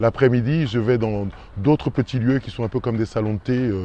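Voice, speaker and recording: Here a man's voice has a dark, mellow tone and medium pitch with ordinary pitch variation. He speaks at a fairly quick pace. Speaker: actor. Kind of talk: casual interview answer about his neighbourhood.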